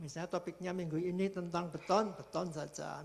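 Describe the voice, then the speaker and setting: A man speaks at a moderate pace. His voice is high in pitch. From Central Java (Purwokerto). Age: 60s. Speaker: retired construction instructor. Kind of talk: online presentation.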